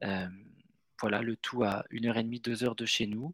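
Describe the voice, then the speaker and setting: Against a silent background in a very clean, dry, close recording with no echo, a man speaks very slowly with fairly even intonation. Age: 30s. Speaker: real estate investor. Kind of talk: podcast interview. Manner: halting, frequent repetitions and fillers.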